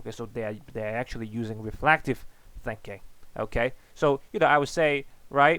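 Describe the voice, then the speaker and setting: A man with a non-native accent at a moderate pace. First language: not English. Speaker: economics teacher. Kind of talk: lecture. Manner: halting, many fillers and repetitions.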